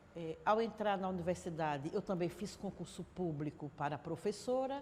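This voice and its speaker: Her voice somewhat breathy, a woman speaks at a moderate pace with lively intonation. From Sergipe, Brazil (Aracaju from age nine). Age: 60s. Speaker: city councillor, teacher and trade unionist. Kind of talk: interview testimony.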